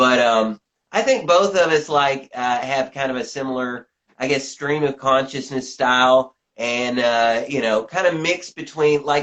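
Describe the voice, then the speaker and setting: Here a man talks at medium pitch with ordinary variation. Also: fairly slow pace. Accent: slight Southern US. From US South, Tennessee. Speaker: journalist and author. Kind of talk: interview. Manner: halting, many fillers and repetitions.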